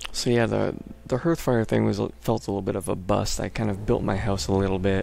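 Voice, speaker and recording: A man speaks in a fairly low pitch. Music plays in the background. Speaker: let's play gamer. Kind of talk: gameplay commentary. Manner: casual, unscripted.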